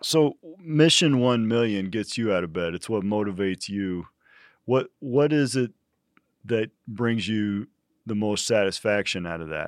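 A man with an unremarkable speaking voice talks at a fairly slow pace, his fairly low pitch carrying lively intonation, on a very clean recording with a silent background and a dry, close sound with no echo. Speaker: podcast host and university leader. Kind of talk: casual interview chat.

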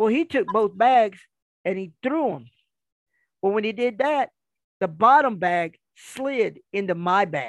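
A man with an American accent speaks high in pitch with lively intonation. His pace is fairly slow, with long, frequent pauses. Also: dry, close sound with no echo. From Kansas City. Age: 50s. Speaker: professional wrestler. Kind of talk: casual chat.

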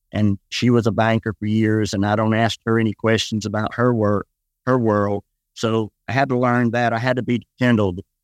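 This man talks fairly quickly in a Southern US accent, with a medium pitch and fairly even intonation. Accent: Southern US (Georgia). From US South, west Georgia. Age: 60s. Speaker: pastor. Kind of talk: casual interview.

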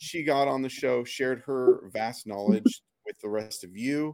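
With an American accent and lively intonation, a man at medium pitch speaks in an unremarkable speaking voice, recorded dry and close with no echo. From US Pacific Northwest. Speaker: podcast host, marketing director. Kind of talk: casual interview.

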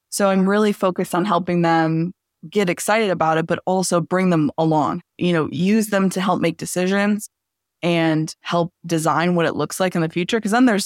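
With an American accent, a woman has an unremarkable speaking voice, fairly low in pitch with ordinary variation and very even loudness, at a moderate pace, in a very clean, dry, close recording with no echo and a silent background. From Southeast Michigan. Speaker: business consultant. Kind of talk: podcast interview.

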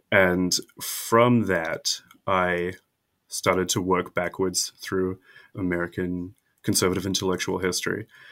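A man with a New Zealand accent and a very deep, low pitch, monotone, flat intonation and a fairly slow pace, on a very clean recording with a silent background. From New Zealand, South Island. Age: young. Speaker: historian. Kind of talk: interview.

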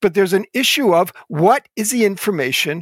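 On a very clean recording with a silent background and a dry, close sound free of echo, an American-accented man with a high pitch speaks at a moderate pace with lively intonation. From US Northeast, Philadelphia suburbs. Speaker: Old Testament scholar and professor. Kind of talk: interview.

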